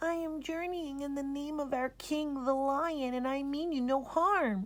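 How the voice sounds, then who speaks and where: It's a put-on character voice with high pitch. The pace is moderate. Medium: read story. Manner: polite, humble.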